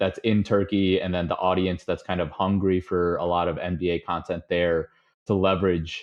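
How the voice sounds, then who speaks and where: With a Chicago accent, a man of very deep, low pitch speaks at a moderate pace in a flat monotone. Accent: Chicago-area American. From US Midwest, Chicago suburbs. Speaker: podcast guest, data analyst. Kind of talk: casual interview chat. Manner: many filler words (um, uh).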